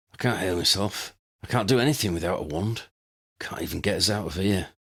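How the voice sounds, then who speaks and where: In a put-on character voice, a man with a fairly low pitch sounds raspy, hoarse and croaky at a fairly quick pace. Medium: read story.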